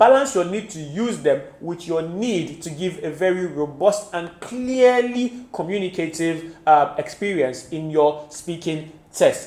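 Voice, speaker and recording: Lively intonation at a fairly slow pace, with hardly any pauses. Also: man, high pitch for a man, big swings in loudness. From Nigeria. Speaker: IELTS tutor. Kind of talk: tutorial.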